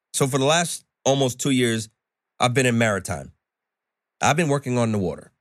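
Fairly quick yet broken by long, frequent pauses, a man with an American accent talks at a medium pitch with very even loudness on a very clean recording with a silent background. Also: ordinary pitch variation. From New York. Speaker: chef. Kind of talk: casual chat.

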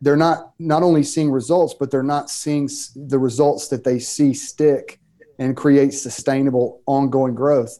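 A man's fairly high, dark and mellow voice with a Southern US accent, fairly slow and monotone with flat intonation. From US South, Mississippi. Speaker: pastor and author. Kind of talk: interview, casual conversation.

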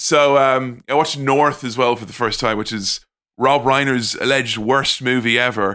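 A man with an Irish accent speaks at a moderate pace in a medium pitch, his tone bright and sharp. The intonation stays fairly even while the loudness swings widely, on a very clean recording with a silent background. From Ireland. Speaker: podcaster. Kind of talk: casual chat.

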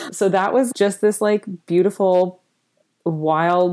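This is a woman speaking on a very clean recording with a silent background. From Canada, rural Prince Edward Island. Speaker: snack food company founder. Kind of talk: interview. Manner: animated.

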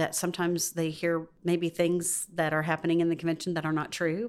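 Flat, monotone delivery at a moderate pace in a Southern US accent, over a very clean recording with a silent background. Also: woman. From US South. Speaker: pastor's wife. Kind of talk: casual interview chat.

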